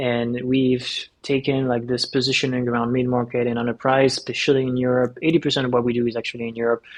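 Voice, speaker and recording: A man with a French accent, medium in pitch, at a very fast pace with monotone, flat intonation over noticeable background noise. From France. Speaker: startup co-founder and CEO. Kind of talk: podcast interview.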